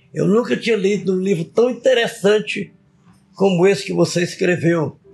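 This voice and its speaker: A man speaks with ordinary pitch variation. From Brazil, Acre (Tarauacá). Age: 80s+. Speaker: retired politician and author. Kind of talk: interview.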